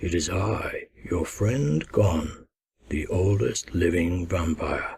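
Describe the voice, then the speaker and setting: A man puts on a character voice. His pitch sits very deep and low. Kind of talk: audiobook first-person narration. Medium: read story.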